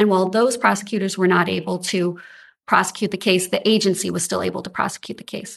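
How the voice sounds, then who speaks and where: Against a quiet background, a woman with vocal fry speaks fairly quickly at a medium pitch with fairly even intonation. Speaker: state appellate attorney. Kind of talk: oral argument before a court. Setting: courtroom.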